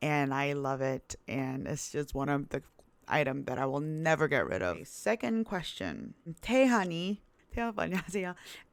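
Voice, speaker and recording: On a very clean recording with a silent background, a woman with a Korean accent and a very deep, low pitch speaks at a moderate pace in a relaxed tone, her pitch swinging very widely. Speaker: YouTuber and plus-size model. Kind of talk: casual Q&A vlog. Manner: casual, relaxed.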